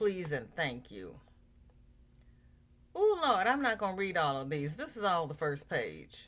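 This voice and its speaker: On a very clean recording with a silent background, a woman with vocal fry and a fairly low pitch talks at a fairly slow pace, using long, frequent pauses, very wide pitch swings and big swings in loudness. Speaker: livestream host. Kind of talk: casual livestream chat. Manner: halting.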